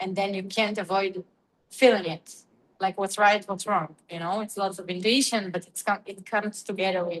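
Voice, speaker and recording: A woman with an Israeli accent at medium pitch, moderate in pace and monotone, with flat intonation. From Israel, near Haifa. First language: Hebrew. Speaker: dancer and teacher. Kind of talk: interview conversation. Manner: halting, searching for words.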